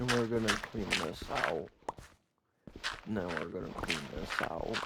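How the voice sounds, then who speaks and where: The man's voice sits fairly low and moves at a fairly slow pace. Pitch variation is ordinary. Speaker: gaming YouTuber. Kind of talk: gameplay commentary. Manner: quiet, sparse talk.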